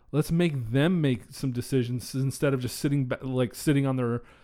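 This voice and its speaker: Captured in a very clean recording against a silent background, a man with an unremarkable speaking voice talks at a moderate pace and medium pitch, with ordinary pitch variation. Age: 20s. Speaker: podcast host. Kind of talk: casual chat.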